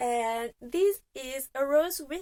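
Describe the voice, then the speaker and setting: This woman talks at a very slow pace with a non-native accent. Her high pitch carries lively intonation. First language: not English. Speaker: fragrance reviewer. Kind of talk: product review monologue. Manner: casual, with frequent filler hesitations.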